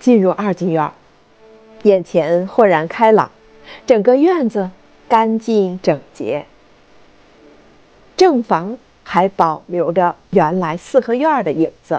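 Speech comes at a very slow pace with long, frequent pauses. The intonation is lively. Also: woman, medium pitch for a woman. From Beijing. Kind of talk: travel vlog voice-over narration.

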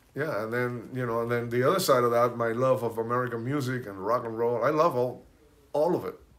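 A man speaks with a Spanish accent at a fairly quick pace. His intonation stays fairly even. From Cuba, Santiago de Cuba; raised in Hollywood from teens; Cuba. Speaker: percussionist; interview guest. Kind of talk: casual chat. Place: home room. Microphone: phone near.

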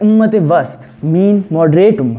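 A man is speaking at a moderate pace. His intonation is lively. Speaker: speaker. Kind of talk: declamation speech. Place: empty room.

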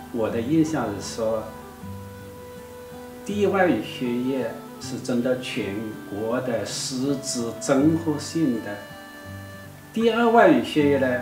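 With clear music in the background, a man speaks at a very slow pace with lively intonation and long, frequent pauses. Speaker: interview guest, the professor's husband. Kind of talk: interview answer. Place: studio.

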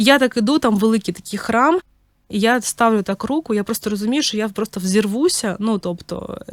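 A woman talks at a very fast pace with ordinary pitch variation, in a very clean recording with a silent background and a dry, close sound with no echo. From Ukraine. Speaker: podcast host, mother of three. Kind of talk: personal storytelling monologue. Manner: casual, with many filler words.

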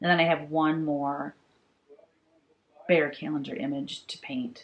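A woman speaks at a very deep, low pitch with vocal fry. Her intonation is lively, and there is light background noise. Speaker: cross stitch designer vlogger. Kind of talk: casual vlog chat. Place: home room.

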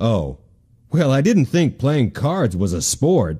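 A man puts on a cartoonish character voice with very wide swings in pitch. He speaks at a medium pitch and a fairly slow pace. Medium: puppet show. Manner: slow, good-natured, a bit dim.

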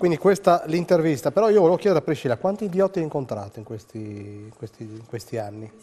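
Hardly pausing, a man speaks at a very fast pace with a fairly high pitch and a dark, mellow tone. His pitch swings very widely and his loudness shifts a lot. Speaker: TV station director; TV show host. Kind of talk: talk show hosting. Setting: studio. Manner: halting. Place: studio. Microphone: lapel.

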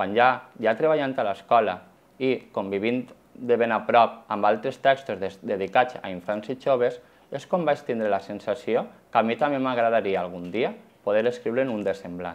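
The pitch varies in an ordinary way. A man delivers the words at a moderate pace. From Valencia, Ribera del Xúquer (Algemesí); Valencia, Spain. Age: 30s. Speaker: schoolteacher and children's author; schoolteacher. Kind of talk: personal testimony interview. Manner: slightly halting. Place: shop. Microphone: lapel.

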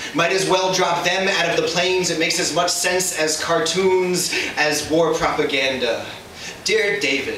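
At a moderate pace and with ordinary pitch variation, the speech carries audible room echo and light background noise. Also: man. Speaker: slam poet. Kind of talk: spoken word poetry performance. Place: stage. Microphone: camera far.

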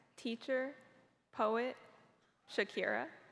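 Her pitch fairly high, a woman speaks at a very slow pace. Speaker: student speaker. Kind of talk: ceremony speech. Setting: arena stage with audience. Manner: humorous. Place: hall. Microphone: podium.

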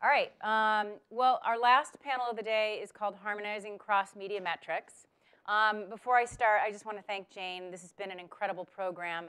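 A woman's bright, sharp tone at a moderate pace, fairly even intonation, quiet background. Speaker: panel moderator. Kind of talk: event introduction. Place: hall.

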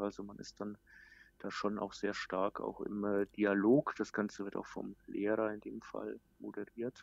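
In a dry, close sound with no echo, a man speaks at a fairly slow pace. His fairly low voice has monotone, flat intonation. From Germany, outside Baden. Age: 40s. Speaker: digital marketing manager. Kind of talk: interview. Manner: frequent filler sounds.

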